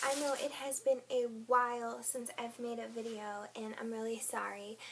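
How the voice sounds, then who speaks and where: Noticeable background noise runs under a woman's high-pitched voice. She speaks at a fairly slow pace with fairly even intonation. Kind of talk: casual talk to camera. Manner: rambling.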